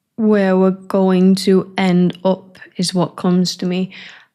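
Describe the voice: A woman speaks at a slow pace with medium pitch. Her tone is dark and mellow.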